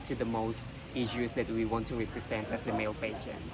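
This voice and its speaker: Over music in the background, a man speaks at a fairly quick pace with a medium pitch. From Indonesia. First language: not English. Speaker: pageant contestant. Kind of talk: interview. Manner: hesitant, frequent fillers.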